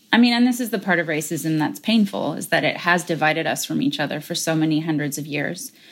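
Speaking at a very fast pace, a woman with an American accent uses a very deep, low pitch and lively intonation. The recording is very clean with a silent background. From United States. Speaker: parent educator and speaker. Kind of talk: interview conversation.

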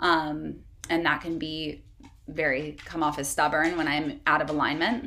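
A woman speaks at a fairly slow pace in a very deep, low pitch with monotone, flat intonation. Her tone is bright and sharp, and room echo is audible. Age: 30s. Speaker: wellness entrepreneur. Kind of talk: casual chat.

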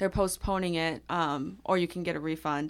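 On a very clean recording with a silent background, a woman has a normal speaking voice. Her pitch is fairly low and her pace fairly quick. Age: 20s. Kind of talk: casual chat. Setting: small padded studio room.

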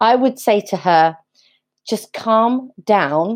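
Her fairly high pitch carries lively intonation as this woman speaks. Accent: English. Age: 30s. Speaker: life coach. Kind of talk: interview.

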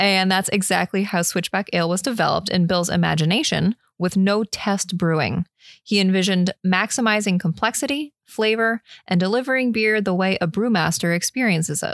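A woman with an ordinary speaking voice talks at a medium pitch and fairly quick pace with ordinary pitch variation and very even loudness, in a dry, close sound with no echo on a very clean recording with a silent background. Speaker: beer podcast co-host. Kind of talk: casual chat. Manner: laughs often.

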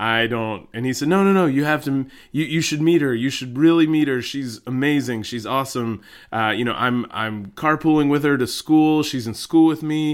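On a very clean recording with a silent background, a man talks in a normal speaking voice at a moderate pace. His pitch is fairly high, with ordinary pitch variation. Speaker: podcast co-host. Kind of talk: casual chat. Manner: joking, playful.

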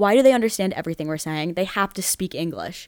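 Speaking at a fairly quick pace, a woman with an American accent has an unremarkable speaking voice. Her intonation is lively. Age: 20s. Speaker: podcast host, college student. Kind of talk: casual solo chat. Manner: chatty, filler-heavy.

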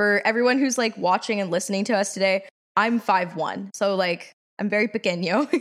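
Speaking at a fairly quick pace, a woman with an American accent has an unremarkable speaking voice at a medium pitch. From Washington, D.C. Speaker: podcast co-host, university student. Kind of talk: casual chat.

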